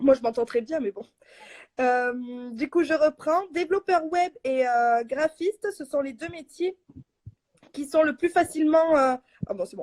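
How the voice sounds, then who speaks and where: A woman speaks at a high pitch and fairly slow pace, with lively intonation, big swings in loudness and long, frequent pauses. The sound is dry and close, with no echo. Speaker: blogger and live host. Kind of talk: live stream talk. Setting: online live stream. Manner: hesitant, many fillers.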